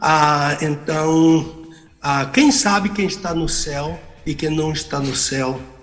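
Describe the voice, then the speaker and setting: With ordinary pitch variation, a man with a fairly high voice talks through audible room echo and noticeable background noise. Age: 70s. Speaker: pastor and theology professor. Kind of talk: radio Bible teaching.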